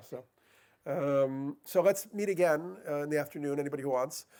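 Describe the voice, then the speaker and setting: This man's voice sits fairly high in pitch and carries a dark, mellow tone. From New York City. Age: 50s. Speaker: author and speaker on psychedelics. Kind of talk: public talk. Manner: fast; halting, with many repetitions and fillers.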